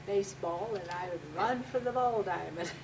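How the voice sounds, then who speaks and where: A woman's medium-pitched voice carries audible room echo and noticeable background noise. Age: 70s. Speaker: interviewee. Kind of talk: family oral-history interview.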